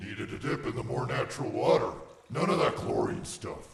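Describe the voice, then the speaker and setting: A man puts on a character voice, with a clear echo around him. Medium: audio drama. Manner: curt, gruff.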